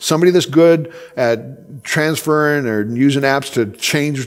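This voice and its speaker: Against noticeable background noise, a man at medium pitch talks with ordinary pitch variation. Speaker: conference speaker. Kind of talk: conference talk. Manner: fast.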